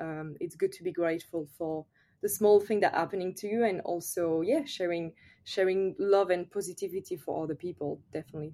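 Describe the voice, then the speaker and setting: Speaking with a French accent at a fairly quick pace, a woman has a fairly low pitch and a dark, mellow tone. Her pitch varies in an ordinary way while her loudness swings widely. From France. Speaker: yoga teacher. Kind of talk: casual interview.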